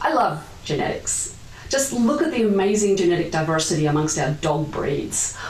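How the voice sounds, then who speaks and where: Over noticeable background noise and audible room echo, a woman with an Australian accent speaks with very wide pitch swings. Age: 50s. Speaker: geneticist. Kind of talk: pre-recorded conference talk. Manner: formal.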